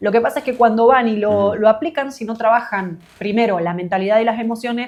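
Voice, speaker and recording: A woman with an Argentine accent talks at a very fast pace, her fairly high pitch showing ordinary variation. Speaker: business coach for creatives. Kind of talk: interview answer.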